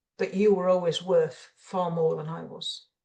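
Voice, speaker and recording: With an English accent, a woman speaks at a moderate pace. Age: 70s. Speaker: retired executive and mentor. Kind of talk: interview.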